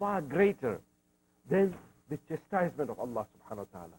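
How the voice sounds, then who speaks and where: Using very wide pitch swings, a man with an East African accent talks at a fairly high pitch in a dark, mellow tone. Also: dry, close sound with no echo. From Zanzibar, Tanzania, East Africa. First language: Swahili. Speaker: Islamic scholar and lecturer. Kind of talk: religious lecture.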